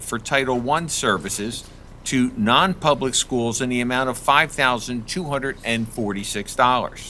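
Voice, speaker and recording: A man with a medium pitch speaks in a bright, sharp tone. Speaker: school board member chairing. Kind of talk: board meeting. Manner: soft-spoken; formal reading of resolutions. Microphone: speaking too far from the mic.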